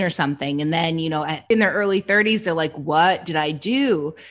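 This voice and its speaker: A woman with a Canadian accent has an ordinary speaking voice, fairly low in pitch. She talks at a fairly quick pace with lively intonation against a quiet background. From Canada. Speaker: true crime podcast host. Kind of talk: casual chat with case narration.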